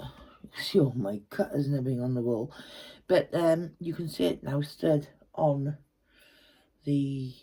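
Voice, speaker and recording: A woman with an English accent, a very deep, low pitch and a dark, mellow tone, somewhat breathy, fairly slow, with lively intonation, big swings in loudness and long, frequent pauses. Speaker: craft tutor. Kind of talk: tutorial. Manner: soft-spoken; casual and chatty.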